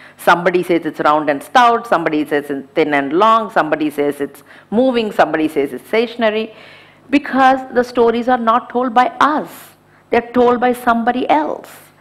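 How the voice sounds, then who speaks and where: The voice moves at a fairly quick pace with very wide pitch swings. Noticeable background noise runs underneath. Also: woman, fairly high pitch for a woman. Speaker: conference organizer and former venture capitalist. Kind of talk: inspirational talk.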